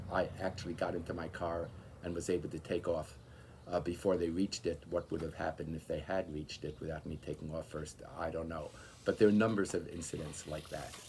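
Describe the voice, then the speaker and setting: Speaking with an American accent, a man has a very deep, low pitch and a somewhat breathy sound. He talks at a fairly quick pace with fairly even intonation. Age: 60s. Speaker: political activist. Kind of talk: interview testimony. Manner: hesitant, many fillers.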